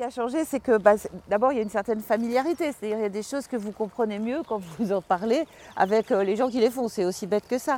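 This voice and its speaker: A woman talks very fast at a fairly high pitch with ordinary pitch variation. Her tone is dark and mellow, and the sound is dry and close with no echo. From Paris. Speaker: journalist and author. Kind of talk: interview. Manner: halting, hesitant.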